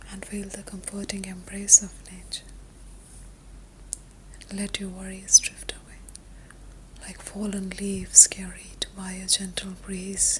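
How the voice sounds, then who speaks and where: A woman whispers at a fairly slow pace, stopping often for long pauses. Background noise is noticeable. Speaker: meditation guide. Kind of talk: sleep meditation. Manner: whispered; soft-spoken, slow.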